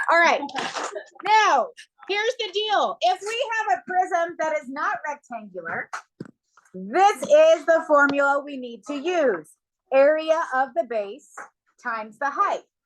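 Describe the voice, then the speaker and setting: A woman speaks at a fairly slow pace with long, frequent pauses, her extremely high voice swinging very widely in pitch and rising and falling sharply in loudness. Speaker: math teacher. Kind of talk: classroom lesson. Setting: classroom.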